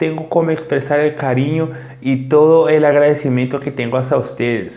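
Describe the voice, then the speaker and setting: Fairly high-pitched male speech at a moderate pace with fairly even intonation, over noticeable background noise. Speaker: Portuguese teacher. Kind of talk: casual talk to camera.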